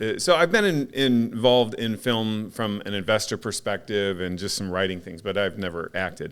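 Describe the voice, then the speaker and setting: In a very clean recording with a silent background, a man with an unremarkable speaking voice and fairly low pitch talks at a moderate pace with ordinary pitch variation and hardly any pauses. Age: 50s. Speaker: podcast host. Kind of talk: casual chat.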